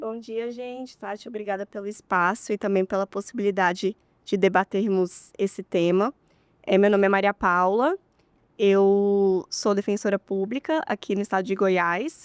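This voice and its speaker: In a very clean recording with a silent background and a dry, close sound with no echo, a woman uses a plain, everyday voice at medium pitch, moderate pace and fairly even intonation. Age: 30s. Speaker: public defender. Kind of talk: podcast interview.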